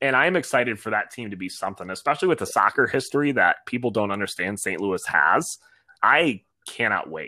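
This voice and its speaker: With an American accent, a man talks fairly quickly at a medium pitch, his bright, sharp tone showing vocal fry and very wide pitch swings. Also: very clean recording, silent background. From Michigan, Ann Arbor. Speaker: soccer supporters group president. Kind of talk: casual interview. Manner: animated.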